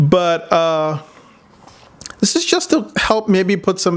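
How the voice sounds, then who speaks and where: A man speaks with a slight non-native accent. His intonation is lively. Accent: slight foreign accent, immigrant. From outside the US, immigrant. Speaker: psychotherapist, vlogger. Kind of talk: personal commentary vlog. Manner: casual, hesitant with many fillers.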